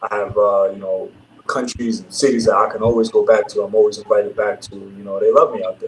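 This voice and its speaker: Someone talks at a fairly quick pace in a New York accent. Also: man. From Brooklyn, New York. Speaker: professional basketball player. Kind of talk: casual interview.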